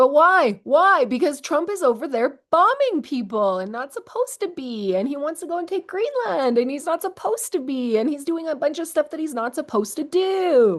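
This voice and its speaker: A woman speaks with hardly any pauses. Her high pitch swings very widely. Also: moderate pace. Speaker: teacher and commentator. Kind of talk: reaction commentary. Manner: animated.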